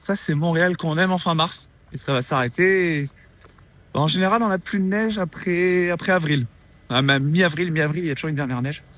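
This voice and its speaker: A man with a high pitch talks at a fairly quick pace, with ordinary pitch variation. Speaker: vlogger and app developer. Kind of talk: casual vlog.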